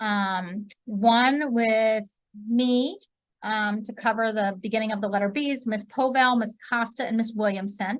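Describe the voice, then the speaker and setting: Her voice sits at a fairly high pitch and sounds somewhat breathy. The woman speaks at a fairly slow pace with ordinary pitch variation. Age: 20s. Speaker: school counselor. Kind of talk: presentation to parents on video call. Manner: casual, many fillers.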